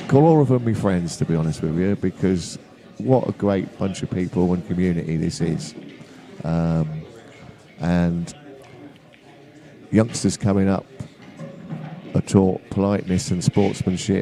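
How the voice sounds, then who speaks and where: Over noticeable background noise, a man talks in a very deep, low voice. He goes at a fairly slow pace with long, frequent pauses. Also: ordinary pitch variation. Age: 70s. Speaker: guest pool commentator, amateur player. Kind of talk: live commentary and chat. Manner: halting, many fillers.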